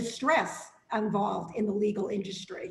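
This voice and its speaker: Speaking slowly-ish in a flat monotone, a woman with a fairly high pitch has a slight Boston accent. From Boston, Massachusetts. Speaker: legal services representative, former attorney. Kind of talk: casual interview.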